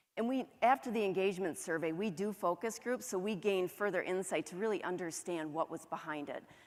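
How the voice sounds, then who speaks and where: With a northern US accent, a woman of medium pitch speaks at a fairly quick pace with hardly any pauses, in a very clean recording with a silent background. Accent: northern US, flat O's and long A's. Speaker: HR director. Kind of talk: conference presentation.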